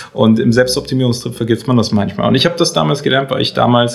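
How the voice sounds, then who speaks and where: Medium in pitch, this man's voice comes through. It is somewhat breathy. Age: 30s. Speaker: entrepreneur and coach. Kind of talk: casual interview.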